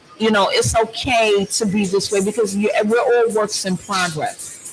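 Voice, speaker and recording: Fairly slow speech with music in the background. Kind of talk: casual chat. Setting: large room with other people.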